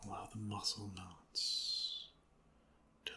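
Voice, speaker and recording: A calm, soft-spoken delivery. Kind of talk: ASMR guided meditation. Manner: soft-spoken, calm.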